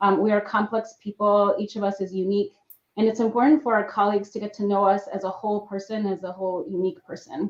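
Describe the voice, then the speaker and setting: In an American accent, a woman talks at a very fast pace with fairly even intonation. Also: medium pitch for a woman. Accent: slight accent in both English and Spanish. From Mexico, bilingual household with US father. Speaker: evaluator, employee resource group member. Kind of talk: panel discussion. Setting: live stream panel.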